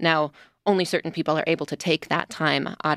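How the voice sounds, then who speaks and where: Recorded very cleanly with a silent background and a dry, close sound with no echo, a woman with a Midwestern US accent speaks at a moderate pace in a very deep, low pitch with monotone, flat intonation. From US Midwest. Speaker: radio news reporter. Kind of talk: radio panel discussion. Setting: studio.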